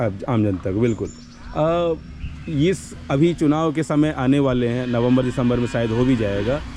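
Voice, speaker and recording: Lively intonation in a man's medium-pitched voice, noticeable background noise behind it. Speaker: interviewer. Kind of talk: interview questions.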